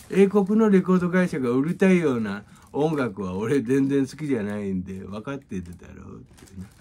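A man with a dark, mellow tone speaks at a fairly quick pace. His pitch swings very widely and his loudness rises and falls sharply. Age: 50s. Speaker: music teacher. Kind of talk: casual monologue and music tutorial. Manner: casual, rambling with many fillers. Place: home room.

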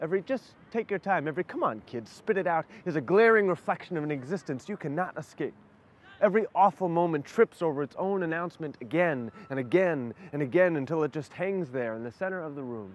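Lively intonation runs through a plain, everyday voice. The pace is fairly quick. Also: man. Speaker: spoken word poet. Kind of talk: spoken word poetry performance.

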